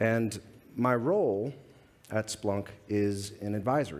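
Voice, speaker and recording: A man with an American accent and a fairly low pitch. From United States. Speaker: security advisor. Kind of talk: conference talk. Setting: stage with audience. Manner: halting.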